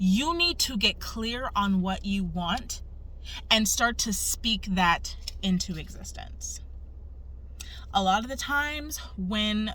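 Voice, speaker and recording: A woman speaks with audible room echo. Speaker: human design coach. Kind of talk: tutorial. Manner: casual.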